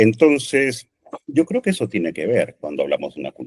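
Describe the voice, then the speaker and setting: A man speaks with a Peruvian accent. The sound is dry and close, with no echo. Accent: Peruvian Spanish (Lima). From Peru, Lima. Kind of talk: podcast interview.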